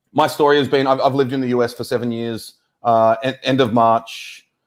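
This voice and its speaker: Pitched in the medium range, a man's voice moves at a fairly quick pace. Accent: Australian. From Australia. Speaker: data science evangelist. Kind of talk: tech talk. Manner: halting, many fillers.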